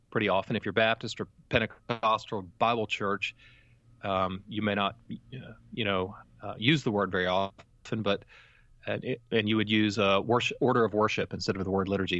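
A man keeps up a fairly quick pace in an ordinary speaking voice, his pitch fairly low. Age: 40s. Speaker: theology professor. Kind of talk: interview.

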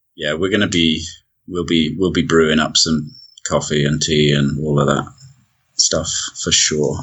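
A man with a British accent and a very deep, low pitch speaks with long, frequent pauses amid audible room echo. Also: fairly even intonation, moderate pace. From Britain. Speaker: long-distance hiker. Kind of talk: casual interview.

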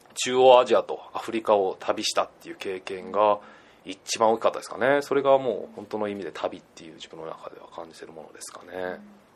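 A man talks at a fairly quick pace, his loudness swinging widely. Background noise is noticeable. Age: 20s. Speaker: backpacker and entrepreneur. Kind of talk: interview.

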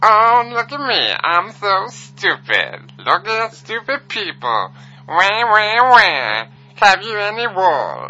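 A put-on character voice at a fairly high pitch and a very slow pace. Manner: mocking, dumb-sounding.

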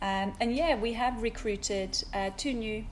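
A woman speaks with a Swedish accent. Her intonation stays fairly even. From Sweden. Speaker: hairdresser and salon owner. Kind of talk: interview.

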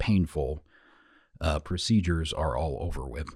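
Very deep, low male voice, somewhat breathy, with an American accent, on a very clean recording with a silent background. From US Midwest. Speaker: podcast host. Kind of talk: scripted-style podcast recap, casual monologue. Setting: studio. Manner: casual, chatty.

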